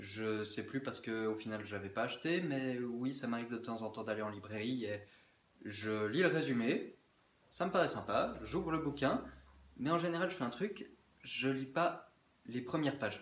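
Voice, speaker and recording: Moderate pace amid noticeable background noise and audible room echo. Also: man. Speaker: book vlogger. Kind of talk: casual chat. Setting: indoors, windows closed.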